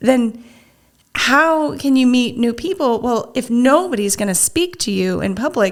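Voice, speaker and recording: At a fairly slow pace, a woman with a high pitch speaks with lively intonation. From US Midwest, Nebraska. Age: 40s. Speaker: single mother, businesswoman. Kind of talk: interview. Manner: halting, frequent self-restarts.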